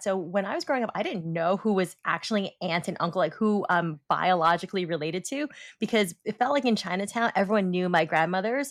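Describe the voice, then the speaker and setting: The recording is very clean, with a silent background. The speaker has an American accent and ordinary pitch variation. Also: woman. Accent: slight New York accent, mostly suppressed. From New York City (Brooklyn). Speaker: podcast co-host. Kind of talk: casual chat.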